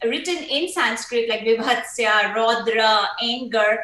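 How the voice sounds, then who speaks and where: A woman speaks over noticeable background noise. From India, Kolkata. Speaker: stage actor. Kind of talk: panel talk. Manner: hesitant, many fillers.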